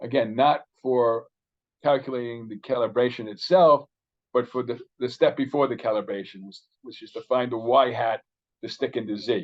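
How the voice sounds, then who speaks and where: A man's medium-pitched voice with ordinary pitch variation and big swings in loudness. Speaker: statistician giving a seminar talk. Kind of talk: lecture. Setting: virtual seminar. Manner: fast.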